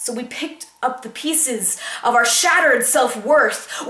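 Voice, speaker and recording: Noticeable background noise sits behind a woman speaking at a fairly slow pace. She has a high pitch and lively intonation. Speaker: slam poet. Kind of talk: slam poetry performance.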